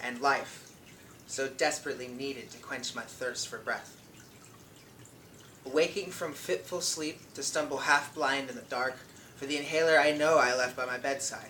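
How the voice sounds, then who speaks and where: The speech moves at a moderate pace with long, frequent pauses and fairly even intonation. Loudness swings widely, and background noise is noticeable. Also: man, fairly high pitch for a man. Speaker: poet. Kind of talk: slam poetry reading.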